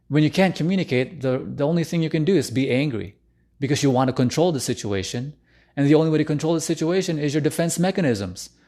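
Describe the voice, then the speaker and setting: A man's dark, mellow voice at a fairly high pitch, very fast pace, and ordinary pitch variation, over a quiet background. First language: not English. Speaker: relationship coach. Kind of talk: live stream talk. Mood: earnest, personal. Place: home room. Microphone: studio mic.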